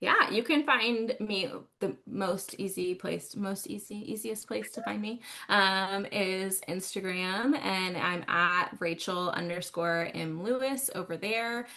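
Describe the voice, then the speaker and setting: Here a woman talks very slowly in a Texas accent. Her tone is bright and sharp, with ordinary pitch variation. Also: medium pitch for a woman. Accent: Texas twang. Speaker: author and book fair organizer. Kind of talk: casual podcast chat. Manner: animated.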